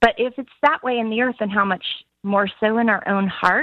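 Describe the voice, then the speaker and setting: A woman in a Southern US accent at a moderate pace, with ordinary pitch variation. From US South, Alabama. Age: 50s. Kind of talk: interview conversation.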